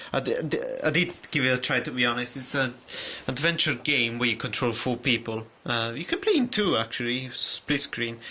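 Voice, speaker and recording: A man at a medium pitch and moderate pace, with ordinary pitch variation and noticeable background noise. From Italy. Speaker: video game collector YouTuber. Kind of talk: casual video haul review. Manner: halting, many fillers and restarts.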